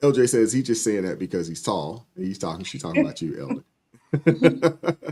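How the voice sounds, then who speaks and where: An animated man talks at a moderate pace. His pitch sits in the medium range. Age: 50s. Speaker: livestream talk show host. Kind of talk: casual chat.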